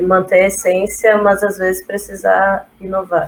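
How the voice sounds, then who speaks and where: Medium-pitched female voice with monotone, flat intonation. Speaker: design student. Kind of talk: casual chat.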